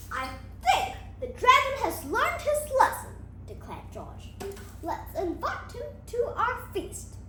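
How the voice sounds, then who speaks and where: A woman's put-on character voice at a fairly slow pace, with long, frequent pauses, slight echo and loud background noise. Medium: read story.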